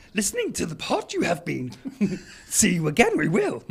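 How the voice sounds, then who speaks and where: A croaky, put-on character voice speaks at a moderate pace with light background noise. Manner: inverted word order, gravelly and cryptic.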